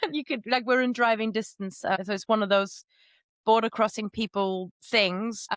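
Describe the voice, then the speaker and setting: A woman with a German accent speaks at a moderate pace with fairly even intonation, in a very clean recording with a silent background and a dry, close sound free of echo. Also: fairly high pitch for a woman. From Germany, Moselle Valley. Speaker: polyglot, language teacher and podcaster. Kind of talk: podcast interview.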